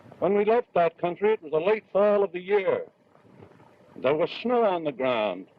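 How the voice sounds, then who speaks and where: Against noticeable background noise, a man with an American accent speaks at a high pitch with ordinary pitch variation. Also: moderate pace. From US Midwest. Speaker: actor. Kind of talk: newsreel address to audience. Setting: outdoors.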